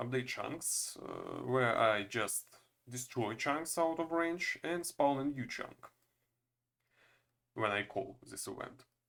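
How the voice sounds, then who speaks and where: Speaking at a very slow pace, a man has a non-native accent. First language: not English. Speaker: game developer. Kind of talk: tutorial. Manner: halting, many fillers.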